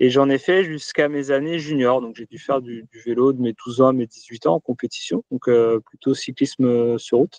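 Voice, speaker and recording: A man at medium pitch and moderate pace, with ordinary pitch variation, big swings in loudness, hardly any pauses and a dry, close sound with no echo. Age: 30s. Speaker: duathlete and entrepreneur. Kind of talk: interview answers. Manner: hesitant, many fillers.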